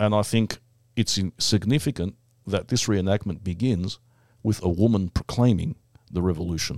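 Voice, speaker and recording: With an Australian accent, a man of fairly low pitch talks at a moderate pace with ordinary pitch variation, the recording very clean, dry and close with a silent background and no echo. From Melbourne, Australia. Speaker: podcast host. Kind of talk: casual chat with banter. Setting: studio.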